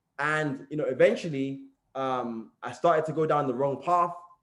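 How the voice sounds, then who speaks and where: A man with a London accent, a fairly high pitch, ordinary pitch variation and a moderate pace. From East London, England. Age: 20s. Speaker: motivational speaker. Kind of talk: motivational talk, personal story. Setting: group call.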